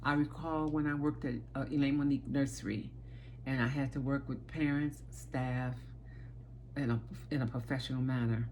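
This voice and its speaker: With long, frequent pauses, a woman speaks at a moderate pace in an American accent. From Chicago, South Side. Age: 60s. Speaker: aspiring teacher, childcare worker. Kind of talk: self-presentation video. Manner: halting, with fillers.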